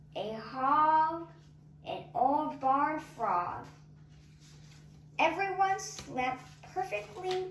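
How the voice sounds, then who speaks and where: A cartoonish character voice, high in pitch and very slow, comes with long, frequent pauses and a slight echo. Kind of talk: bedtime story. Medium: puppet show. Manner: sing-song, rhythmic.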